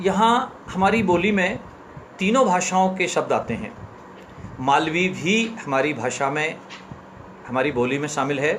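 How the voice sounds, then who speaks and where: Amid noticeable background noise and audible room echo, a man speaks in a high pitch with lively intonation and long, frequent pauses. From central India, Chambal region (Ashoknagar, Madhya Pradesh). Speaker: author. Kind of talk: live-stream talk and story reading.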